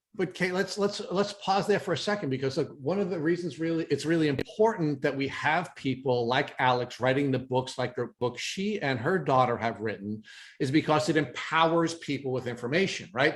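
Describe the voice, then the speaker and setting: Fairly high in pitch and somewhat breathy, a man speaks at a fairly quick pace. His intonation is lively, and he takes hardly any pauses. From New York. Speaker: podcast host. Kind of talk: interview.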